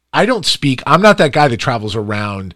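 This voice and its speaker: A man speaks in an animated tone. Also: very clean recording, silent background. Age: 40s. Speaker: podcast host and entrepreneur. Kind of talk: interview podcast.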